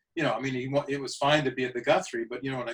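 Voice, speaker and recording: A man with a Canadian accent and fairly even intonation. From Canada, Saskatoon, prairies. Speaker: actor. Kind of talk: interview. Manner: halting, many repetitions.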